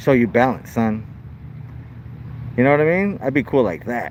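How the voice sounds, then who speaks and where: A loud man at a fairly quick pace, with noticeable background noise. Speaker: first amendment auditor filming police. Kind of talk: casual commentary to camera. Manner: casual slangy, halting with repetitions.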